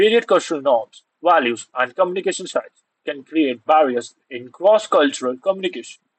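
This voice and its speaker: A high-pitched man's voice with very wide pitch swings. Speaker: online tutor for university exams. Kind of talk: lecture. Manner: fast.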